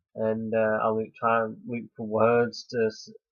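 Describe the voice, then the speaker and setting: The man's voice sits at a medium pitch. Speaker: vlogger. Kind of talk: personal advice vlog. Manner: halting; slow.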